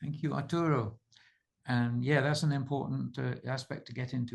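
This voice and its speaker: Against a quiet background, a man with a British accent speaks at a fairly quick pace in a somewhat breathy voice. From Britain. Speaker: author and researcher hosting a subscriber call. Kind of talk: casual group video call.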